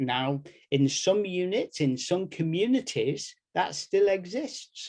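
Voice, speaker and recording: A man with an English Midlands accent talks at a fairly slow pace, his pitch swinging very widely. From English Midlands, Nottingham. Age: 70s. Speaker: medical education professor. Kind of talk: workshop presentation.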